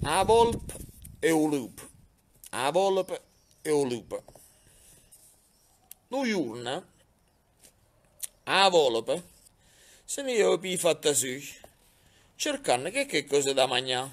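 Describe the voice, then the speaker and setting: Very wide pitch swings at a very slow pace, broken by long, frequent pauses. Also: man, fairly high pitch for a man. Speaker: mayor. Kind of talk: folk tale reading. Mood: humorous, amused. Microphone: phone near.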